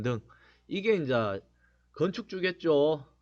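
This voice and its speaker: A man's pitch swings very widely as he talks against a quiet background. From Gyeongsang region, Korea. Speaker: real estate agent, blogger. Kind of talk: informational talk. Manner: casual, with many fillers.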